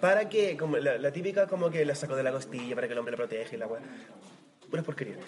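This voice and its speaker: Over noticeable background noise, a man with a Chilean accent talks at a very fast pace, his fairly high pitch carried by lively intonation. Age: 30s. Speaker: podcast co-host. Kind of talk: casual chat.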